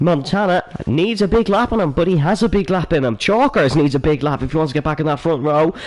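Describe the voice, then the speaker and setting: A man with an Irish accent, at a fairly high pitch and a very fast pace, with lively intonation, very even loudness and hardly any pauses. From Ireland. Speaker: sim racing commentator. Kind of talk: live commentary. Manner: animated.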